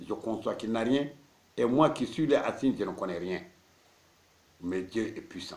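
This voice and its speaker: Here a man speaks at a medium pitch with ordinary pitch variation. His pace is moderate. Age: 60s. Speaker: marabout, Islamic spiritual teacher. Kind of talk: religious teaching talk.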